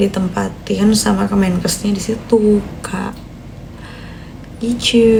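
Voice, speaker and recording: A woman at a very slow pace with long, frequent pauses, amid noticeable background noise and audible room echo. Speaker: newly graduated doctor livestreamer. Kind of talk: casual live stream chat. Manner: chatty, reads comments aloud.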